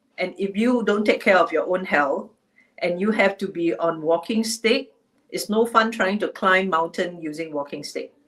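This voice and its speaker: A woman with an ordinary speaking voice, moderate pace and ordinary pitch variation. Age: 60s. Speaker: HR executive. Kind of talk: webinar talk. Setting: livestream.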